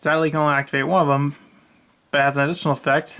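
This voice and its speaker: A man's bright, sharp tone, bored in manner and fairly high in pitch. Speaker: card game YouTuber. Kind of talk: deck profile tutorial. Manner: bored-sounding; casual with fillers.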